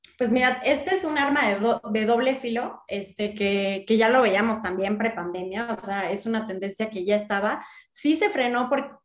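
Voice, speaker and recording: A moderate pace and ordinary pitch variation amid noticeable background noise. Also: woman. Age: 30s. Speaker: real estate entrepreneur and content creator. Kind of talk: interview.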